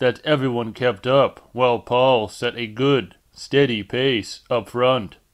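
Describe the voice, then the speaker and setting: Very slowly, a man speaks at a medium pitch with fairly even intonation. The recording is very clean, with a silent background. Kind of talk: audiobook narration.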